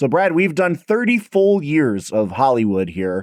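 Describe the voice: In a very clean recording with a silent background, a man speaks at a fairly slow pace, his fairly high, slightly mellow voice making big pitch swings.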